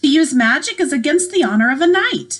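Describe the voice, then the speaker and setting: Here a woman uses a put-on character voice, high-pitched and squeaky. She talks at a fairly quick pace with very wide pitch swings. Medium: read story. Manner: formal.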